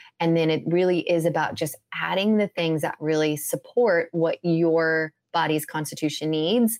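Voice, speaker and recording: An unremarkable speaking voice with an American accent, moderate in pace with hardly any pauses, very even in loudness, in a dry, close sound with no echo and a very clean recording over a silent background. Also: woman, fairly low pitch for a woman, fairly even intonation. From US Midwest, Indiana. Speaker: holistic health coach. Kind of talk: casual interview chat.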